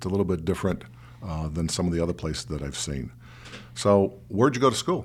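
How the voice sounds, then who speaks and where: Talking very fast in an American accent, a man uses a very deep, low pitch, lively intonation and vocal fry. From Michigan, US. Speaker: podcast host. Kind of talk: casual interview chat.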